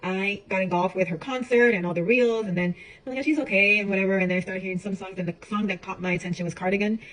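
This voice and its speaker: A woman's medium-pitched voice at a very fast pace, ordinary pitch variation, with noticeable background noise. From Chicago and Puerto Rico. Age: 40s. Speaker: home baker vlogger. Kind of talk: casual vlog tutorial. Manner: talkative, chatty; hesitant, many fillers.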